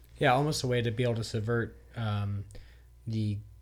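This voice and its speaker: A man speaks with a fairly low pitch and a somewhat breathy voice. His intonation is monotone and flat. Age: 30s. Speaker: podcast co-host. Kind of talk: casual chat.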